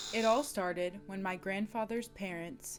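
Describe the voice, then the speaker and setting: Music plays in the background while a woman talks at a fairly slow pace. She has a medium pitch and ordinary pitch variation. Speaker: documentary narrator. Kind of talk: documentary narration.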